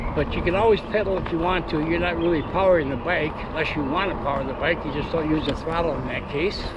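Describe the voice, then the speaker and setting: A man with a high pitch speaks at a very fast pace with hardly any pauses and fairly even intonation, amid noticeable background noise and audible room echo. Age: 60s. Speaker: vlogger. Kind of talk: casual narration while riding. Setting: outdoors on an e-bike. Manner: relaxed, hesitant with fillers.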